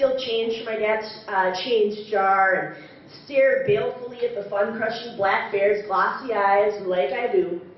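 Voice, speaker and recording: With an American accent, a woman speaks at a fairly slow pace and a fairly high pitch over noticeable background noise. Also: fairly even intonation. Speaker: storyteller. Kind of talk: live story slam performance.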